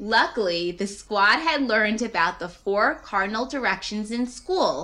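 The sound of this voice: This is an unforced reading voice. It reads in an unforced way throughout.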